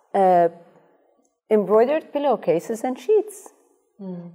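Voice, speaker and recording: A woman speaks in a dark, mellow tone with a non-native accent. Her intonation is lively and her pace fairly slow. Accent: foreign-accented English. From Iraq, raised in Amsterdam. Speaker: dentist. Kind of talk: panel discussion.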